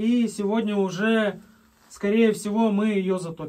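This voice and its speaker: A man speaks in a high voice with fairly even intonation. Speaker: cabin builder vlogger. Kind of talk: casual vlog chat. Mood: relaxed storytelling. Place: home room.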